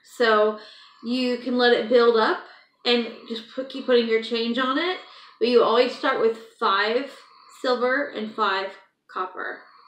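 A high-pitched woman's voice with fairly even intonation, long, frequent pauses and audible room echo. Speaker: vlogger. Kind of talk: casual vlog chat. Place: home room. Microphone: phone near.

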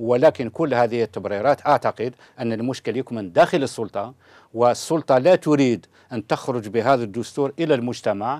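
Against a quiet background, a man talks fairly quickly with ordinary pitch variation in a dry sound with no echo. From Algeria. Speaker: lawyer and political activist; lawyer. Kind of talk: TV political debate. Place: studio. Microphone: lapel.

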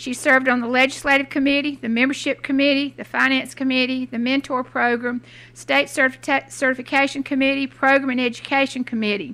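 A woman speaks in a raised, projected voice at a fairly quick pace. Her intonation is monotone and flat, with hardly any pauses. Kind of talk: formal reading of a biography. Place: hall.

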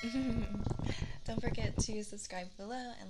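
A woman's voice over loud background noise. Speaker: ASMR content creator. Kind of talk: ASMR brushing video intro, talking to camera. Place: home room. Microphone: studio mic.

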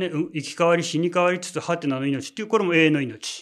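An unremarkable speaking voice moves at a fairly quick pace with lively intonation. The background is quiet. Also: man. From Japan. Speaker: religious leader. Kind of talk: sermon. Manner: many filler words. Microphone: lapel.

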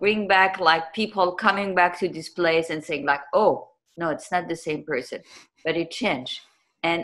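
A woman does the talking. Behind her the background is quiet. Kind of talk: interview answer. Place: home room. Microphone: video call.

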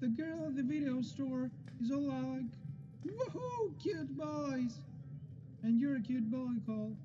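A put-on character voice at middle pitch, fairly slow, with long, frequent pauses over loud background noise. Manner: rambling, loud, erratic.

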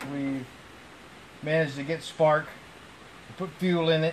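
A man talks at a fairly slow pace in a monotone, flat intonation over light background noise. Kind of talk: casual vlog commentary. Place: garage. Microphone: phone near.

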